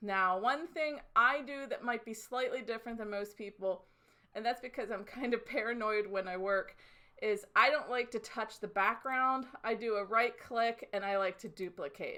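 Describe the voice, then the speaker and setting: A loud woman's fairly high-pitched voice, bright and sharp in tone, at a moderate pace. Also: ordinary pitch variation. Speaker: design instructor. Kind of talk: tutorial. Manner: gets louder when excited.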